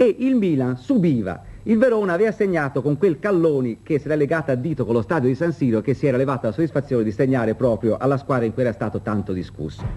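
A man's very fast speech at medium pitch, dark and mellow in tone, with very wide pitch swings. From Italy. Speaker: studio sports presenter. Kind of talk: 1970s sports newsreel, studio results reading. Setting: TV studio. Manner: brisk, formal, measured. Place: studio.

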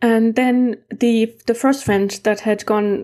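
In a German accent, a woman speaks with a dark, mellow tone and fairly even intonation against a quiet background. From East Germany. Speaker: amateur heritage mapper and video creator; conference presenter. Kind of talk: conference presentation. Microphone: webcam.

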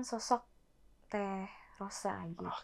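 A woman with ordinary pitch variation over a quiet background. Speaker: singer; guest. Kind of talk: casual interview chat. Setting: studio. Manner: fast. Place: studio.

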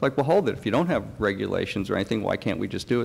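American accent, male voice. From outside Texas, other US state. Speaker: aquaculture researcher; presenter, panelist. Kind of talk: conference presentation; conference Q&A answer. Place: hall. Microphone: podium.

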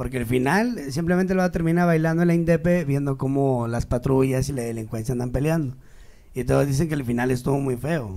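Fairly high in pitch, this man has a dark, mellow tone. He moves at a fairly quick pace with ordinary pitch variation. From Mexico City. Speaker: comedian. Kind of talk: casual chat. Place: studio. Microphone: handheld.

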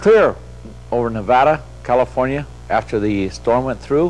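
The man's intonation is lively as he talks. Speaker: TV presenter. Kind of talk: broadcast weather forecast. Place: studio.

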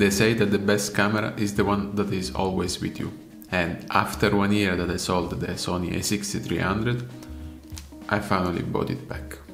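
With clear music in the background and audible room echo, a man with a fairly low pitch talks at a moderate pace with ordinary pitch variation. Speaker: photographer and filmmaker. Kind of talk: casual camera review to camera. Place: home room.

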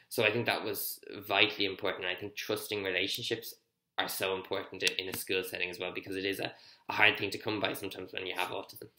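Over audible room echo, a man talks at a very fast pace, his fairly low voice bright and sharp in tone with monotone, flat intonation. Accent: Irish. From Ireland. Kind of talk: personal testimony talk to camera. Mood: reflective, earnest. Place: home room. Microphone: webcam.

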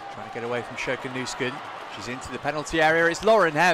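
Over crowd noise, a man with a British accent talks very fast in an excited, animated tone. His pitch varies in an ordinary way. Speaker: match commentator. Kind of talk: live match commentary. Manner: animated, fast, rising in pitch at goals; excited play-by-play delivery.

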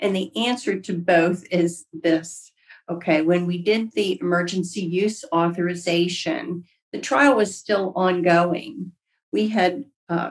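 Against a quiet background, a woman speaks at a very slow pace with a fairly low pitch and ordinary pitch variation. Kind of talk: interview answer. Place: home room. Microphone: video call.

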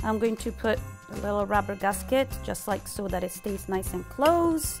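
A woman speaks at a moderate pace. Music plays clearly in the background. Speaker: chef instructor. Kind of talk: tutorial. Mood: warm, cheerful. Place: kitchen.

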